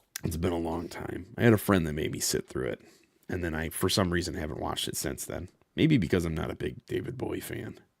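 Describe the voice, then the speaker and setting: A man speaks at a very fast pace in a very deep, low voice with vocal fry. His pitch variation is ordinary. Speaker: streamer. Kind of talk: live gaming stream chat. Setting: live stream. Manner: halting, repeats words.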